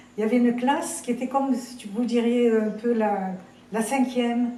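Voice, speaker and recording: Speaking at a fairly slow pace, a woman with a fairly high pitch is heard over noticeable background noise and audible room echo. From Algeria (French Algeria, Tébessa). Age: 90s. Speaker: eyewitness of wartime history. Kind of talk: interview testimony. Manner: halting, many repetitions and fillers.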